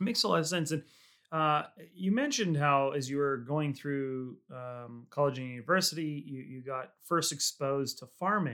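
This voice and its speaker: A man speaks in a normal speaking voice at a fairly high pitch, with ordinary pitch variation and a moderate pace. The recording is very clean, with a silent background. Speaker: podcast host and winery founder. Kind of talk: casual interview.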